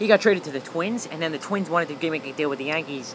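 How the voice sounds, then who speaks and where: A man talks with ordinary pitch variation. Noticeable background noise is present. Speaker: sports livestreamer. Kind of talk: casual livestream commentary. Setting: outdoors. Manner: fast.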